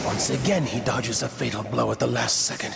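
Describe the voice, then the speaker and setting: A man's cartoonish character voice at a fairly quick pace and very even loudness, with loud background noise. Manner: measured, intense.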